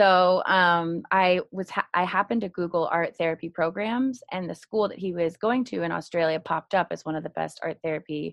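A woman speaks in an ordinary speaking voice with an American accent. Her pitch is fairly low, with ordinary pitch variation. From California, Marin County. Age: 30s. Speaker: art therapist. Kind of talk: interview.

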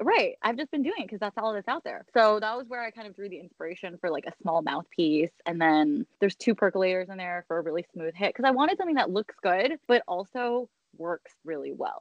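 In a plain, everyday voice, a woman speaks at a medium pitch and fairly quick pace with hardly any pauses, her intonation lively and her loudness swinging widely. The sound is dry and close, with no echo. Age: 30s. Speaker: business founder. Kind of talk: interview.

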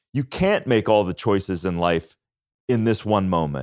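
At a fairly slow pace, a man speaks with an American accent on a very clean recording with a silent background. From US Midwest, Minnesota. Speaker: author and health podcast host. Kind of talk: casual interview. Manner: animated.

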